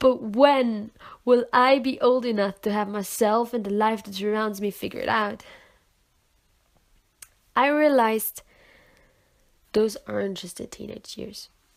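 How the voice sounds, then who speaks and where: Ordinary rise and fall in pitch at a medium pace, the recording very clean and the background silent. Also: woman. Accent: non-native. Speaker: poet. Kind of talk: slam poetry reading.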